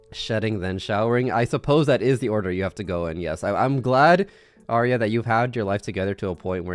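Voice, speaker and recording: Ordinary pitch variation at a very fast pace, quiet background. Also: man. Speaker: vtuber streamer. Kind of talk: casual live stream chat. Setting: live stream with camera.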